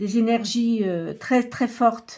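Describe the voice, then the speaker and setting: A woman speaks in a somewhat breathy voice with ordinary pitch variation. The recording is very clean, with a silent background. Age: 60s. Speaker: tarot reader and medium. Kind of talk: tarot reading monologue. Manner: hesitant, many filler sounds.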